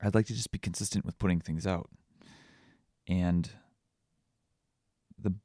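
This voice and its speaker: This man's very deep, low voice has a dark, mellow tone and a dry, close sound with no echo. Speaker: vlogger. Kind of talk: solo podcast monologue. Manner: halting, with pauses and stutters.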